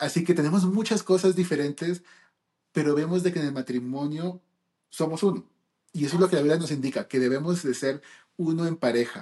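A man speaks at a fairly high pitch with a dark, mellow tone and ordinary pitch variation. He moves at a fairly quick pace but takes long, frequent pauses. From United States (born in Peru). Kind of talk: casual chat.

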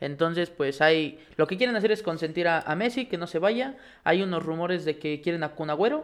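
Moderate speed from a man with a high pitch and normal pitch movement. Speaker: sports podcast co-host. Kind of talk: casual sports chat.

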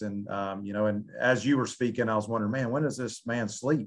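A man's medium-pitched voice with ordinary pitch variation against a quiet background. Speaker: podcast host, athletic administrator, ex football coach. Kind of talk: interview. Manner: halting, many fillers.

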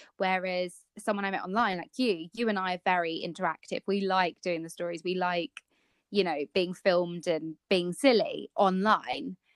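In an ordinary speaking voice of medium pitch, a woman talks at a moderate pace with ordinary pitch variation, the sound dry and close with no echo and a quiet background. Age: 20s. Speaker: podcast co-host, blogger. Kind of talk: casual chat.

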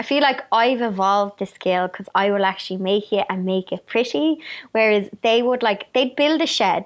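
A woman with an Irish accent speaks at a moderate pace in a fairly high pitch, her pitch varying in an ordinary way against a quiet background. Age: 30s. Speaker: YouTuber and author. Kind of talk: casual interview chat.

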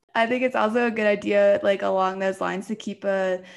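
A woman with an American accent speaks at a fairly quick pace in a medium pitch. She has a normal speaking voice. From US East Coast, Virginia. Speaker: fitness podcast co-host. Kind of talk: casual chat.

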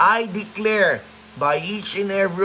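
A man's raised, projected voice, high-pitched with ordinary pitch variation, at a fairly slow pace over noticeable background noise. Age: 30s. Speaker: pastor. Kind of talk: sermon; casual chat.

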